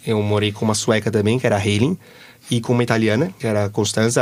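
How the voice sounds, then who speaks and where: A man's medium-pitched voice at a very fast pace, with a Brazilian accent. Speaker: exchange student. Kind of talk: interview. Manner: animated.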